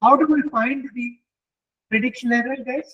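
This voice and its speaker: This man's voice is extremely high-pitched and loud. He speaks at a fairly slow pace. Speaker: guest lecturer in machine learning. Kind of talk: interactive lecture.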